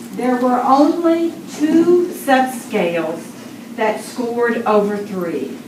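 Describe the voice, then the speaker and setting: A woman talks at a fairly high pitch. Audible room echo and noticeable background noise surround her voice. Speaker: consultant presenting survey report. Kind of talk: formal presentation.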